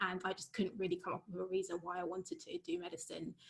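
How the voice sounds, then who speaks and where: A woman talking at a very fast pace in a London accent. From London, England (Wembley). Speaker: university lecturer in geoscience. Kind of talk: informal talk in an online webinar.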